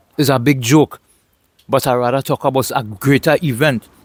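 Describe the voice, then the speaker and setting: In a Trinidadian accent, a man speaks with a dry, close sound and no echo. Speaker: vlogger. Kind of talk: casual monologue vlog.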